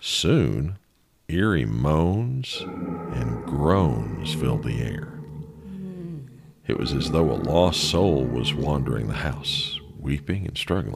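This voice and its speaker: Music plays in the background while a man talks at a very slow pace. His very deep, low pitch carries lively intonation. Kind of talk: ghost story narration.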